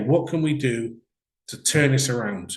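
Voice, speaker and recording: A man delivers his words with lively intonation and a moderate pace. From Wales. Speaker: business coach. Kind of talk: webinar presentation. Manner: conversational, with filler words.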